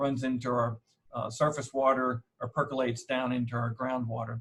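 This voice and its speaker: Somewhat breathy, a man talks at a fairly quick pace with an East Texas accent. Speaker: horticulturist. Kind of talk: lecture. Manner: frequent fillers.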